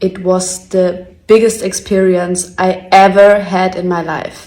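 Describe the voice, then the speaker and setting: Very slowly, a woman speaks in a German accent with a medium pitch. Her tone is dark and mellow, her intonation flat and monotone. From Germany. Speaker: reality TV contestant. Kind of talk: personal video statement.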